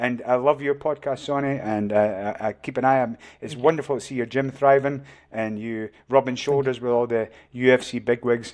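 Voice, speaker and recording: This is a man with a Scottish accent. The background is quiet. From Scotland. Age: old. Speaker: martial arts coach. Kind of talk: podcast interview.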